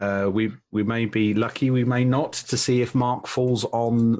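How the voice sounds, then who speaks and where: A man with a British accent, medium pitch, and ordinary pitch variation. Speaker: podcast host. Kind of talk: casual chat.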